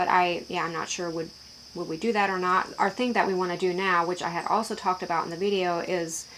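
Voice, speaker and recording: A medium-pitched woman's voice, very fast and monotone with flat intonation. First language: Pennsylvania Dutch. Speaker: YouTuber. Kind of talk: casual Q&A vlog. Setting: in her shed. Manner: halting, many fillers.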